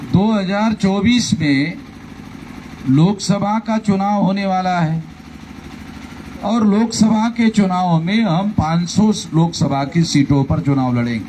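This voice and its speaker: A man with a high pitch speaks using lively intonation. Noticeable background noise runs underneath. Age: 60s. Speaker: political leader. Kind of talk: election rally speech.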